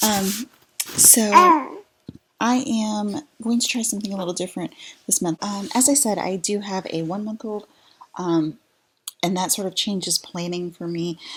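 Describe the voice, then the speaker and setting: A quiet woman with an American accent speaks with long, frequent pauses. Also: ordinary pitch variation, moderate pace. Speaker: mom vlogger and virtual assistant. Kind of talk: tutorial. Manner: quiet, low-voiced; hesitant, many fillers.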